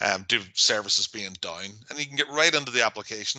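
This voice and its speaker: A man speaks at a very fast pace. His tone is bright and sharp against a quiet background. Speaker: IT consultant presenting workshop. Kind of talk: webinar presentation. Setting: online workshop.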